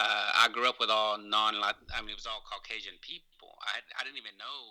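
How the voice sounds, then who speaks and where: A man speaks in an East Texas accent. His pitch is fairly low. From East Texas (Longview), born in Mexico. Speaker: lawyer and activist. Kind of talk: interview. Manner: halting.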